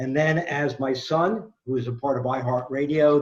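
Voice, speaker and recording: In a New York accent, a man speaks at a fairly high pitch with fairly even intonation. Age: 60s. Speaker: quizmaster, former sports radio host. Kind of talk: self-introduction at a trivia event. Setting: video call.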